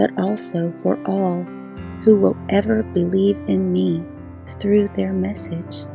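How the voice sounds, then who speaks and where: Set against background music, the calm, soothing voice goes at a very slow pace with ordinary pitch variation. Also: woman, very deep, low pitch for a woman. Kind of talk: Bible scripture reading, calm devotional narration. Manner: calm, soothing, peaceful.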